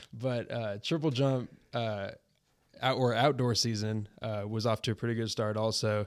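A man talks at a moderate pace with medium pitch and fairly even intonation, in an ordinary speaking voice. The recording is very clean, with a silent background. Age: 20s. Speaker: college athlete. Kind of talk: casual chat.

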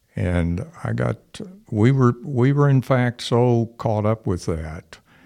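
A man speaks slowly with a dark, mellow tone and vocal fry. His intonation is lively. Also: medium pitch for a man, very clean recording, silent background.

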